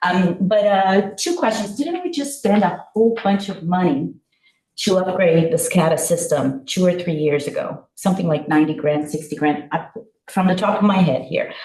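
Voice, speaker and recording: Her voice is somewhat breathy, at medium pitch with ordinary pitch variation. The woman keeps a moderate pace. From Brazil, São Paulo. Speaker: village councillor. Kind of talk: council meeting discussion.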